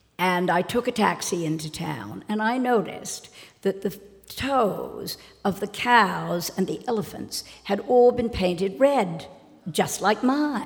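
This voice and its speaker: Speaking fairly slowly, a woman uses a medium pitch with vocal fry. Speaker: socialite. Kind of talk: live storytelling. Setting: stage with audience.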